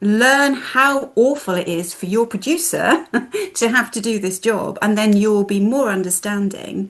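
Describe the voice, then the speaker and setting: Against a quiet background, an ordinary speaking voice moves at a fairly slow pace with ordinary pitch variation. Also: woman, fairly high pitch for a woman. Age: 50s. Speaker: film festival director. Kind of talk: casual chat.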